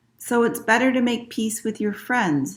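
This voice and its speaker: A female-sounding, put-on character voice, fairly high in pitch, at a moderate pace. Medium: read story.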